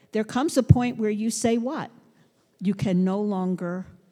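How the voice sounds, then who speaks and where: Speaking at a fairly slow pace, a woman with an American accent has a medium pitch, a dark, mellow tone and lively intonation. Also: long, frequent pauses. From US Northeast, Brooklyn, New York City. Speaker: pastor. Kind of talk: sermon.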